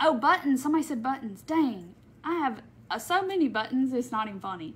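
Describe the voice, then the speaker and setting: The speaker has a Southern US accent and talks at a fairly quick pace with very wide pitch swings. Light background noise can be heard. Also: woman. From Mississippi. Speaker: crafter; craft live streamer. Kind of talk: live craft tutorial. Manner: casual. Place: home room. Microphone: phone near.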